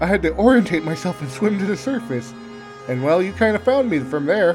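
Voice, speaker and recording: Music sits in the background as a man speaks at a moderate pace. His pitch swings very widely. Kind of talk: fanfiction audiobook reading. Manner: occasional stutters and pauses.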